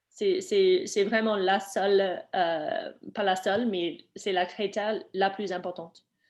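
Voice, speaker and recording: At a very slow pace, a woman with a non-native accent speaks in a medium pitch with ordinary pitch variation. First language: not French (speaking French). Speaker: webinar presenter, program staff. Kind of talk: Q&A session in webinar. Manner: halting, many fillers.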